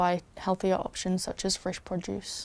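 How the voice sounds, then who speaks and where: With a New Zealand accent, a woman talks at a moderate pace in a dark, mellow tone of medium pitch. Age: 20s. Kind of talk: personal testimony.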